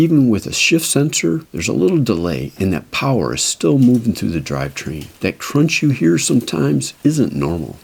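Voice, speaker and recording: The speaker keeps a moderate pace with hardly any pauses. The pitch swings very widely. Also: man, very deep, low pitch for a man. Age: 60s. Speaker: e-bike mechanic and reviewer. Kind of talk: talking-head explainer. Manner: casual, conversational.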